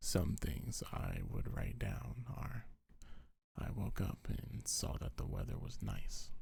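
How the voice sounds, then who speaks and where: The tone is gentle. Each word comes at a very slow pace. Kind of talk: ASMR comfort roleplay. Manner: soft-spoken, gentle.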